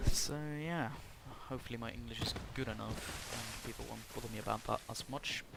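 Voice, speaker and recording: A man with a Norwegian accent amid noticeable background noise. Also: fairly quick pace. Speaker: gaming YouTuber. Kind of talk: gameplay commentary. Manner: halting.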